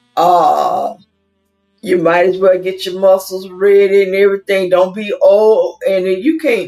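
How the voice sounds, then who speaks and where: A woman's pitch varies in an ordinary way while music sounds behind her. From US South. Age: 60s. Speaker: YouTuber. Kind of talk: casual livestream monologue. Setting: livestream on camera. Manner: rambling; animated.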